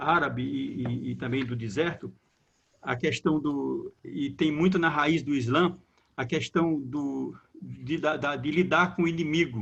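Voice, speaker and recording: A man talks at a fairly slow pace, his fairly high pitch showing ordinary pitch variation. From Brazilian Northeast. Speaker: theologian, moderator. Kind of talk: panel discussion. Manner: halting, repeats words.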